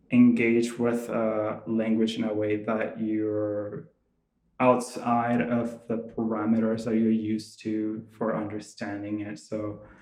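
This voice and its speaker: A man's very slow, monotone, flat delivery in a Venezuelan accent, with audible room echo. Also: medium pitch for a man. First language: Spanish. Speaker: visual artist. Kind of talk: artist talk. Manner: halting, many fillers and restarts.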